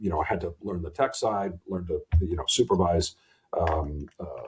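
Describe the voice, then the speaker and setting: A man speaks at a moderate pace with a somewhat breathy voice. His pitch varies in an ordinary way. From Canada (Toronto). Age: 60s. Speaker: army veteran and finance executive. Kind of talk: casual interview chat. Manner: halting, many repetitions and fillers.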